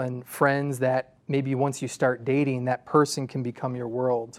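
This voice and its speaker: At a moderate pace, a man with a medium pitch talks in a very clean recording with a silent background and a dry, close sound free of echo. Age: 30s. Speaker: associate pastor. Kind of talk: panel discussion.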